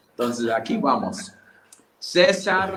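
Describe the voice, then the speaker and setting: With an American accent, a man talks in a high pitch with lively intonation. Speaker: church conference co-host. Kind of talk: online conference wrap-up and giveaway announcements.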